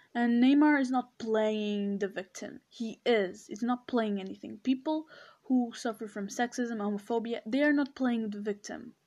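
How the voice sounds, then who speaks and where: A woman's fairly high voice, fairly slow and fairly even in intonation, with big swings in loudness on a very clean recording with a silent background. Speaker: podcaster. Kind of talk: solo commentary monologue.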